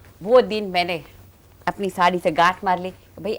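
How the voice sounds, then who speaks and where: This woman's voice has vocal fry. Her pitch sits in the middle range. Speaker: vegetarian cooking expert. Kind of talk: interview answer.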